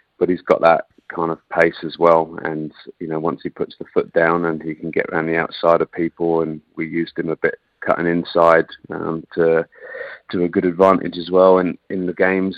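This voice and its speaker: Very deep and low, a man with an English accent speaks in a monotone with flat intonation and big swings in loudness. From England. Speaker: football coach. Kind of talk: radio interview.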